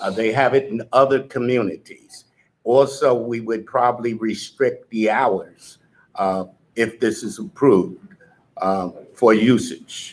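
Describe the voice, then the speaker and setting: With fairly even intonation, a man talks at a fairly slow pace. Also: medium pitch for a man. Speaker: board member. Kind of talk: board meeting discussion. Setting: community board meeting.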